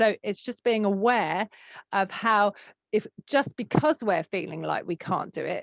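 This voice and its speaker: Against a quiet background, a speaker with a southern English accent talks at a moderate pace. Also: woman. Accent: southern English long A sounds. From southern England. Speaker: psychotherapy trainer. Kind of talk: recorded online training session. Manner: hesitant, lots of fillers.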